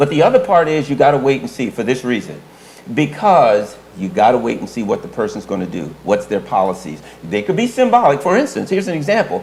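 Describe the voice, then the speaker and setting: Talking at a very fast pace with very wide pitch swings, a fairly high-pitched man is heard through noticeable background noise. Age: old. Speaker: political analyst. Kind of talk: casual chat.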